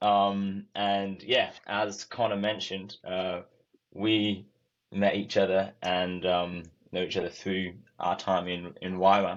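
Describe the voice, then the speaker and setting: In a Welsh accent, the speaker talks very slowly with monotone, flat intonation. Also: man, fairly low pitch for a man. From Wales, Cardiff. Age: 20s. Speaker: youth missionary. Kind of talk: testimony. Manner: casual, many filler words.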